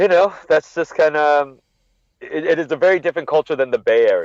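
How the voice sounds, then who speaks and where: A man with a Californian accent talks at a fairly quick pace, the sound dry and close with no echo. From Northern California (Monterey). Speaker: wrestling podcaster. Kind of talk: casual chat.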